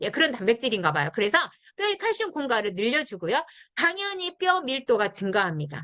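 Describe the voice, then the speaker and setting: Raising and projecting her voice, a woman talks at a fairly quick pace, her high pitch making very wide swings and her tone bright and sharp. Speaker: network marketing product trainer. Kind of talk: product training talk. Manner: fast; animated.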